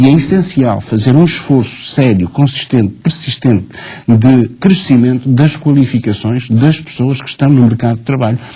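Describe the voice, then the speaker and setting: Noticeable background noise sits behind the speech. The man delivers his lines at a moderate pace. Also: medium pitch for a man, ordinary pitch variation. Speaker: teachers' union leader. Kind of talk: TV studio debate.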